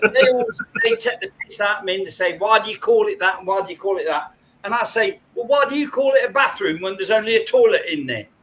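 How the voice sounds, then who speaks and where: With an English accent, a man speaks. His delivery is very fast. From England. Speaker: livestream guest, metal detectorist. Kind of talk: casual chat.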